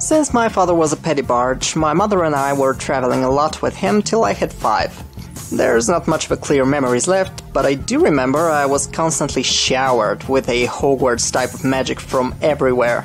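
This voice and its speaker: Music plays in the background as a man with a Bulgarian accent speaks at a fairly high pitch and a fairly quick pace, with hardly any pauses. His loudness stays very even, and his pitch variation is ordinary. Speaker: screenwriter. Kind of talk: personal life story narration.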